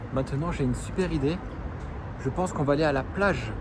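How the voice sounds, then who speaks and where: Noticeable background noise and ordinary pitch variation. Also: man. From southern France, Provence. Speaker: French teacher. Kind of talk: vlog-style language lesson. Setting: outdoors. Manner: slow, clear.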